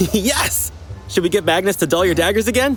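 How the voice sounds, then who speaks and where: Putting on a whiny character voice, a man talks at a fairly quick pace in a high pitch with ordinary variation, his loudness very even over clear background noise. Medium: audio drama. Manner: whiny, eager.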